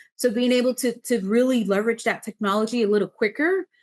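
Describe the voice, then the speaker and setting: In a quiet background, a woman with a fairly high voice talks at a very fast pace with ordinary pitch variation. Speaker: city government official. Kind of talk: webinar presentation.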